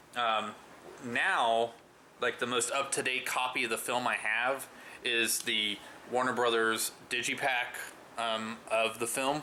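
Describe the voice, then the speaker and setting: At a medium pitch, a man talks fairly slowly in a monotone, flat delivery with very even loudness. Long, frequent pauses break up his speech, and noticeable background noise is present. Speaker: movie reviewer. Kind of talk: casual vlog review. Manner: hesitant, many fillers.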